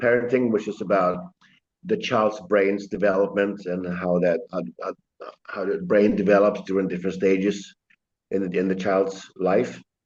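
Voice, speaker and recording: This man talks with a Swedish accent at a fairly slow pace. His pitch sits fairly low, with ordinary variation. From Sweden. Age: 60s. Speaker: chiropractor. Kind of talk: interview. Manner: halting.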